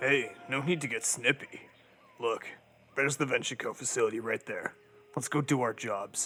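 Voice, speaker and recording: A man puts on a character voice at a medium pitch. He keeps a moderate pace with long, frequent pauses. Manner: sarcastic, laid-back.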